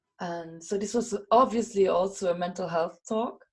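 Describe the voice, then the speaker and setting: A woman talks at a moderate pace with a Luxembourgish accent. Her pitch sits in the medium range. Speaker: WordPress community organizer and speaker. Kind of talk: podcast interview. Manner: animated; halting, with frequent repetitions.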